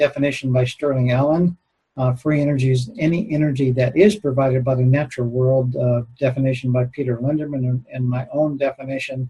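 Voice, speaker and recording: Speaking at a fairly quick pace with an American accent, a man uses a medium-pitched, somewhat breathy voice with a dark, mellow tone and ordinary pitch variation. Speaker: retired aerospace engineer, conference speaker. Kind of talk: conference lecture. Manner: halting, many filler words.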